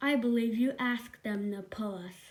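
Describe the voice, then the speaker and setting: The speaker uses a put-on character voice. The pace is moderate. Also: woman. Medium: read story. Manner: cross.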